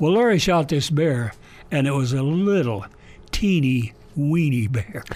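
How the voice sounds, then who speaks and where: Fairly slow, lively intonation from a man with a fairly high pitch, with noticeable background noise. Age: 80s+. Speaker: retired hunter education storyteller. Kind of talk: radio interview storytelling.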